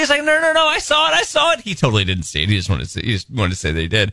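At a very fast pace, a man uses a raised, projected voice with very wide pitch swings over noticeable background noise. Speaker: radio host. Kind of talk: casual radio banter. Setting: studio.

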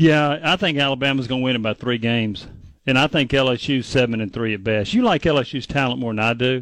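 Speaking at a fairly quick pace, a man has a plain, everyday voice, a medium pitch and ordinary pitch variation. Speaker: sports radio co-host. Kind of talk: radio sports talk.

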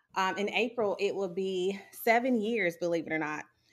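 A woman with an American accent speaks at a moderate pace in a normal speaking voice. Her intonation is lively. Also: very clean recording, silent background. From South Carolina (Sumter). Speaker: psychologist. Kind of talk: interview.

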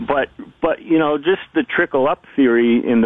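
A man talks in an unremarkable speaking voice. His intonation is lively and his pace moderate. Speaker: baseball columnist. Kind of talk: radio interview, casual sports chat.

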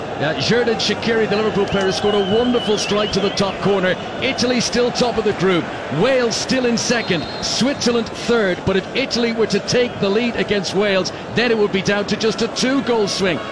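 A man talks in a high pitch with fairly even intonation and very even loudness. Noticeable background noise sits behind him. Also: fairly quick pace. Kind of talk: live radio score update, reports from another match. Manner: brisk and crisp, clearly and urgently delivered.

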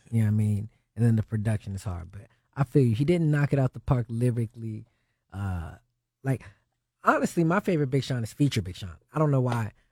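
Very fast yet broken by long, frequent pauses, a man with an American accent and medium pitch talks with lively intonation and a somewhat breathy voice, the sound dry and close with no echo on a very clean recording with a silent background. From Ohio. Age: young. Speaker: rapper. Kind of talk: casual chat.

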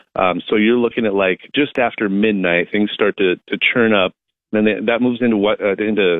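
This man has an unremarkable speaking voice, speaking at a moderate pace with fairly even intonation. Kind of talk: live TV meteorologist giving a weather report by phone, model-by-model storm forecast. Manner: measured, conversational, with fillers and hedging.

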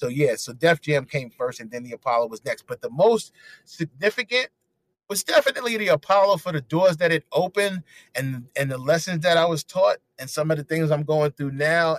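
In a New York accent, a man with a fairly high pitch talks at a fairly quick pace with lively intonation and big swings in loudness. The sound is dry and close with no echo. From New York, Harlem. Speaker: comedian and radio personality. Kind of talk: casual interview chat.

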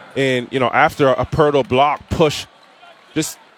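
With music in the background, a man talks at a fairly quick pace in a fairly high voice. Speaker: basketball color commentator. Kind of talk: live game analysis. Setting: radio broadcast booth. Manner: conversational, explanatory, with filler phrases.

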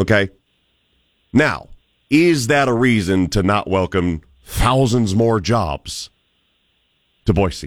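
Speaking very slowly with long, frequent pauses, a man with an American accent keeps his fairly low voice at a very even loudness. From US Midwest. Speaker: radio talk show host. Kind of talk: talk radio call-in show. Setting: radio studio. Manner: animated; rambling.

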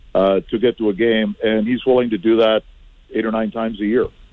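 In a normal speaking voice, a man with a Canadian accent talks at a moderate pace, his medium pitch held in fairly even intonation. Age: 50s. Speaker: team communications director and radio voice. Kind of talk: radio interview about sports. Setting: phone call.

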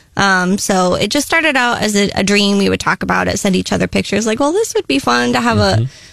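Speaking with an American accent, a woman talks at a very fast pace with hardly any pauses. Her loudness stays very even. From Columbia, Missouri. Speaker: coffee shop owner. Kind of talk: radio interview.

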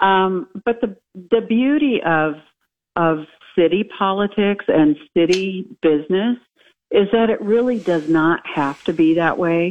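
A woman with an American accent has an ordinary speaking voice at a medium pitch. She talks at a fairly slow pace with lively intonation and very even loudness. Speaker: mayoral candidate, former state senator. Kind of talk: radio interview.

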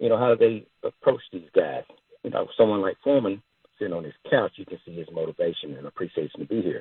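Here a man talks at a very fast pace. His loudness swings widely. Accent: Southern US. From US South, Arkansas. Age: 20s. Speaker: caller, delivery driver. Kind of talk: sports radio call-in.

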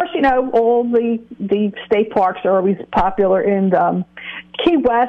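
A woman speaks at a fairly slow pace. Her pitch is fairly high. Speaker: travel agent. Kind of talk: radio interview. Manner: upbeat and animated.

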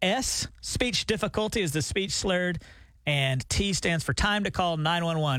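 The speaker has a Southern US accent, lively intonation and a bright, sharp tone. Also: man. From Alabama. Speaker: radio morning show co-host. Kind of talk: casual chat. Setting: radio studio.

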